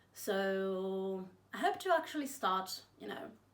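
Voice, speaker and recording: There is noticeable background noise behind the voice. A woman speaks at a medium pitch. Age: 20s. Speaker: book vlogger. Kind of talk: casual vlog chat.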